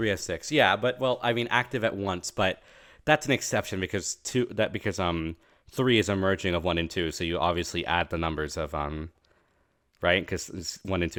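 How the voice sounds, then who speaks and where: A quiet man speaks fairly quickly in a very deep, low pitch with lively intonation. The recording is very clean, with a silent background. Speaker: streamer reacting to game trailer. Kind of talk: live stream reaction and analysis. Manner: a bit quiet; halting, many fillers and self-corrections.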